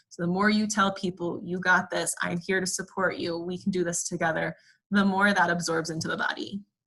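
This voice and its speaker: At a fairly quick pace, a woman speaks in a bright, sharp tone with medium pitch and monotone, flat intonation. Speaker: clinical therapist presenting resilience training. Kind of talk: webinar lecture. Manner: fast.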